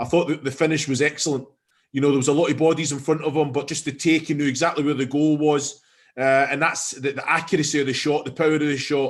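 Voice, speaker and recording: Against a quiet background, a man with a fairly high pitch talks at a very fast pace in a monotone, flat intonation. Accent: strong Scottish. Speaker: football pundit. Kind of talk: post-match analysis chat. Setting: stadium broadcast.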